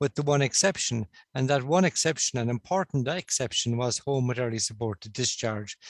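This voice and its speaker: At a moderate pace and with ordinary pitch variation, a man with a slight Cork accent is heard in a dry, close recording without echo. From Ireland, Cork. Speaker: stroke consultant. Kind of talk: conference presentation.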